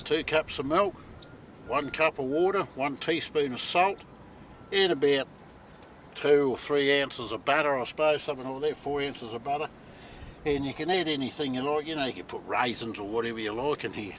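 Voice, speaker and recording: Here a man talks with a New Zealand accent at a fairly high pitch and a fairly quick pace, in a relaxed tone. His pitch varies in an ordinary way, and he leaves long, frequent pauses. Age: 60s. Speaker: outdoor cooking vlogger. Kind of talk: casual vlog narration. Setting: outdoors on a beach. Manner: relaxed, conversational.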